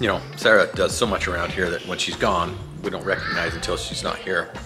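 A man talks fairly quickly while music comes through clearly behind him. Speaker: family vlogger. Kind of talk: casual vlog chat. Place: kitchen. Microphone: phone near.

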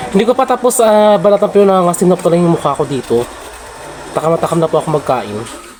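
Speech comes at a very fast pace. Noticeable background noise runs underneath. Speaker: vlogger. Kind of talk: casual vlog narration.

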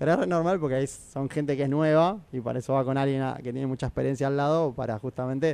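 Recorded dry with no echo, a man talks very fast with hardly any pauses in a fairly high voice that has a dark, mellow tone and fairly even intonation. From Argentina, Necochea; Argentina. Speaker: airline pilot; radio guest. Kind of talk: casual chat. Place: studio. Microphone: studio mic.

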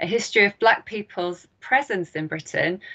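At a moderate pace, the voice has a bright, sharp tone with vocal fry and ordinary pitch variation. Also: woman. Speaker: event host introducing a speaker. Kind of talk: formal event introduction. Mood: warm, welcoming. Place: home room. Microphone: webcam.

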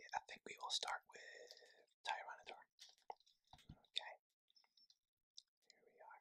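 Someone whispers at a moderate pace. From Scotland. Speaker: ASMR creator. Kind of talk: ASMR card unboxing talk. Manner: whispered. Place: home room. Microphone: phone near.

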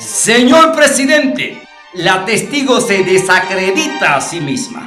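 Over faint music in the background, a man puts on a character voice, high-pitched with a bright, sharp tone, big pitch swings and a slow pace.

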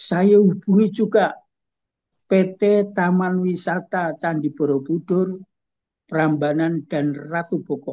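Very slowly, a man speaks in a high pitch with a dark, mellow tone and fairly even intonation. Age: 70s. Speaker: culture expert and writer; guest. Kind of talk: interview. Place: home room. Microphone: video call.

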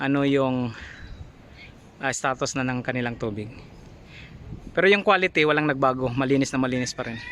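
A man speaks at a medium pitch with ordinary pitch variation and a fairly quick pace, broken by long, frequent pauses. Noticeable background noise runs underneath. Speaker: water filtration installer and vlogger. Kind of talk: tutorial.

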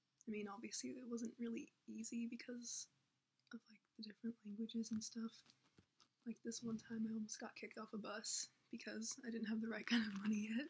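A quiet woman talks at a moderate pace in a fairly high, somewhat breathy voice. Her intonation is monotone and flat. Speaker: YouTuber. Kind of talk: casual vlog chat. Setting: home, host family's house. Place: home room. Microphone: laptop recording, may be hard to hear; webcam.

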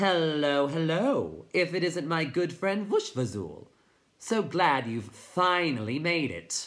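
A man's put-on character voice, slow and fairly high in pitch, with a fairly bright tone and big pitch swings

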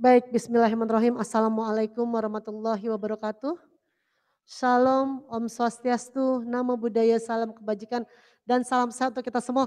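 A woman's fairly high, animated voice at a fairly quick pace against a quiet background. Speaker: government official. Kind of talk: formal speech. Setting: venue with live audience. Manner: animated, exhortative. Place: hall. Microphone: handheld.

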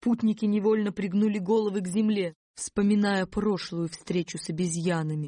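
The speaker has an animated tone at a moderate pace. There are hardly any pauses. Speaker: audiobook narrator. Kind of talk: audiobook reading of a children's fairy tale, narrated with character voices in dialogue. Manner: animated, expressive storytelling, shifting tone for each character.

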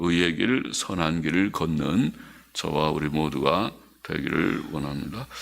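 A man's very deep, low voice at a very slow pace, with ordinary pitch variation and audible room echo. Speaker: pastor. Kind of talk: sermon.

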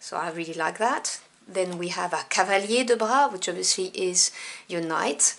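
With ordinary pitch variation, the talking moves along at a moderate pace. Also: woman, medium pitch for a woman. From France. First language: French. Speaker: tarot deck reviewer. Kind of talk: product review.

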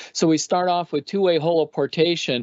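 A man with a Canadian accent talks at a very fast pace. The background is quiet. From Canada. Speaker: former astronaut and physician; guest. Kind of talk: panel discussion. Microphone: webcam.

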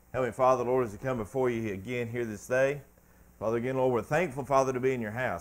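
A man speaks at a very fast pace with fairly even intonation. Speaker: preacher. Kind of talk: spoken prayer. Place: church.

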